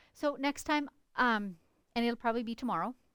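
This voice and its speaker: This woman talks at a fairly quick pace with ordinary pitch variation. She has an unremarkable speaking voice. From Canada, northern British Columbia. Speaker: quilter. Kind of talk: live stream tutorial and chat. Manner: casual, chatty.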